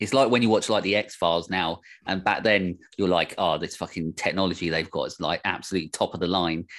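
A man with a very deep, low pitch talks at a fairly quick pace with hardly any pauses and fairly even intonation, on a very clean recording with a silent background. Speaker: podcast host, horror fan. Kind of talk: casual chat. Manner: joking, sweary.

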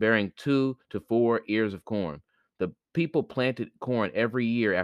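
The voice is reading aloud in a natural voice. Behind it, the background is quiet.

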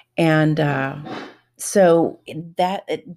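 On a very clean recording with a silent background, a woman speaks at a very deep, low pitch with ordinary pitch variation. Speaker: podcast host. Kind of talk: solo monologue. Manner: casual, conversational with fillers.

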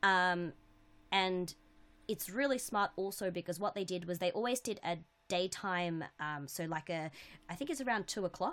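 With an Australian accent, a woman speaks at a moderate pace, her medium pitch showing ordinary variation. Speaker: podcast co-host. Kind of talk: casual chat. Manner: loud.

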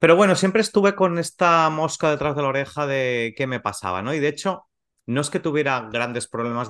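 A man uses lively intonation in an ordinary speaking voice. The background is quiet. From Spain, Valencia region (Gandía). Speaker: macrobiotics teacher and podcast co-host. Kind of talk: casual interview.

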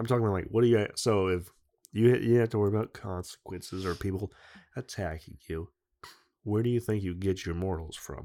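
A man talks with a dark, mellow tone at a fairly low pitch, with ordinary pitch variation. The recording is very clean, with a silent background. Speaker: podcast host. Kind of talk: casual chat. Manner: profane, joking.

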